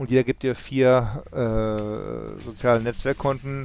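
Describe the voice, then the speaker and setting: This is a male voice at a medium pitch. The intonation stays monotone and flat throughout. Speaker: podcast co-host. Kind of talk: casual chat.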